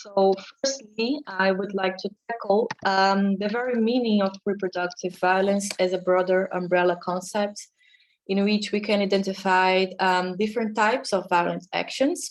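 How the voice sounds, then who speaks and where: A woman with a non-native accent, medium pitch, fairly even intonation, and a moderate pace. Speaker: academic researcher. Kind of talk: conference talk.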